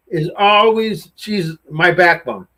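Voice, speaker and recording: A man with an American accent, very slow pace and ordinary pitch variation. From US West Coast (Torrance, California). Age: 60s. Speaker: BMX racer. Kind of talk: interview. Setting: live show.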